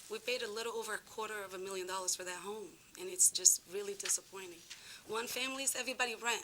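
Through noticeable background noise, a woman talks at a very fast pace. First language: not English. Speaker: resident speaking at public hearing. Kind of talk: public comment at town meeting. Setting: town commission meeting.

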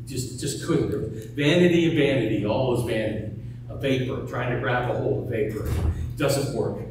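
Amid noticeable background noise and strong room echo, a man talks at a moderate pace. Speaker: pastor. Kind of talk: sermon. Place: church.

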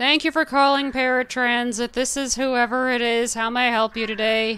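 A woman does a put-on character voice, high-pitched and flat in a monotone, on a very clean recording with a silent background. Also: moderate pace. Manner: chirpy, scripted customer service.

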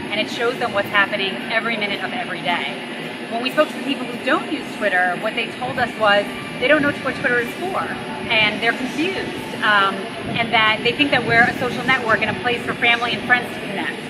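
Loud background noise fills the clip. A woman speaks at a fairly quick pace with ordinary pitch variation. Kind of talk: interview answer. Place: street.

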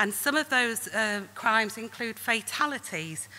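The speaker is a woman. Her pitch varies in an ordinary way. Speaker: conference presenter. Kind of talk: lecture. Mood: serious, earnest. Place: hall. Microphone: podium.

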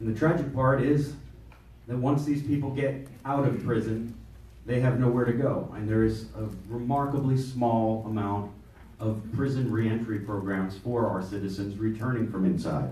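Audible room echo accompanies a man talking at a moderate pace with ordinary pitch variation. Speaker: political candidate. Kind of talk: candidates' forum. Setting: stage with audience. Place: meeting room. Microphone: camera far.

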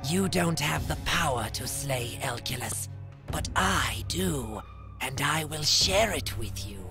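A man puts on a character voice at a medium pitch, speaking at a fairly slow pace. Loud music plays in the background. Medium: dub. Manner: menacing.

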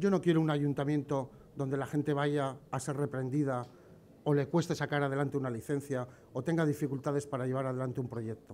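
Against light background noise, a man speaks with a dark, mellow tone. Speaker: candidate. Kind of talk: campaign speech. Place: street. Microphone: podium.

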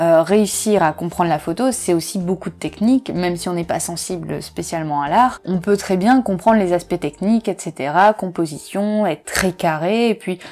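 A fairly low female voice at a moderate pace, with ordinary pitch variation. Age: 20s. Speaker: photographer and video creator; photography youtuber. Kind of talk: casual Q&A video monologue. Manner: hesitant, many filler sounds.

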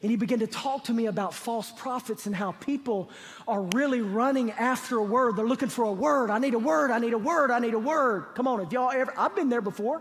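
With few pauses and a fairly quick pace, the fairly bright tone carries ordinary pitch variation. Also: man.

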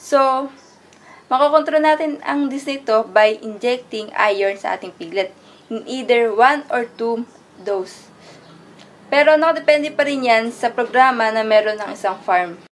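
A woman speaks at a high pitch, and her loudness swings widely. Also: lively intonation, moderate pace. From Philippines. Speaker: agriculture student; presenter. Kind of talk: class report presentation. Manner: partly reading aloud. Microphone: phone near.

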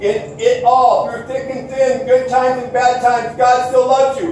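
A man speaks in an extremely high, slightly mellow voice with little pitch movement. His pace is fairly slow, and room echo is audible.

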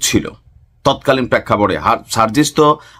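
A man's medium-pitched, plain, everyday voice carries ordinary pitch variation. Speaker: political commentary youtuber. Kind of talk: political news commentary.

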